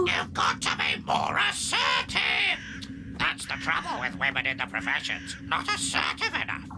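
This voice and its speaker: A cartoonish character voice speaks. Loud background noise fills the recording. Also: moderate pace. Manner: sardonic, bossy.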